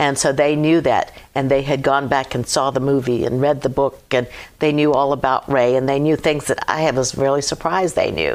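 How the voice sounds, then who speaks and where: Very deep and low in pitch, a woman speaks at a moderate pace in a monotone, flat intonation, her loudness very even. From Virginia, US (Hampton). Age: 70s. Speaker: Gold Star widow. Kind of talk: casual interview. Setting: studio.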